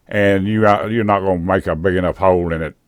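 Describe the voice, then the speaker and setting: A man's very deep, low voice with a Southern US accent, at a moderate pace with ordinary pitch variation, in a very clean recording with a silent background. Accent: Southern US rural. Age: old. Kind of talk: casual drone video narration. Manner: rambling, folksy.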